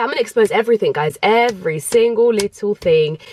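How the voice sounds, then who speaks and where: A woman with a London accent speaks at a fairly high pitch and a fairly quick pace. Her intonation is lively, and the sound is dry and close with no echo. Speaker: YouTuber. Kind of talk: vlog storytime. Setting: parked in a car. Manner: fast, chatty.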